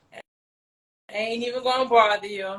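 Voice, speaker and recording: With an American accent, the speaker's tone comes across bright and sharp. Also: woman. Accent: New York accent noticed by Southerners. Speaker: talk show host. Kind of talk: casual chat.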